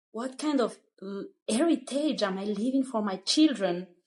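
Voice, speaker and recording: A woman with a Malagasy accent talks at a fairly slow pace in a bright, sharp tone, with lively intonation. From Madagascar. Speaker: Montessori school founder. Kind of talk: interview. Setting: studio. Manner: halting.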